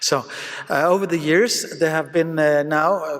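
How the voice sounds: With fairly even intonation, a man speaks at a fairly slow pace. His pitch is fairly high.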